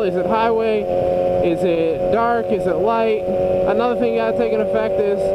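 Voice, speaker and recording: A man speaks at a fairly quick pace. The sound is dry with no echo, over loud background noise. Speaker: motorcycle vlogger. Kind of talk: casual vlog chat. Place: motorbike. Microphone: helmet.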